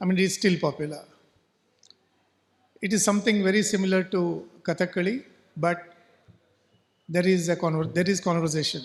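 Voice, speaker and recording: A high-pitched man with a Goan accent, fairly quick in pace yet with long, frequent pauses, his loudness very even. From coastal Karnataka, India. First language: Konkani. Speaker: novelist. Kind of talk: talk at a literature festival. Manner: halting.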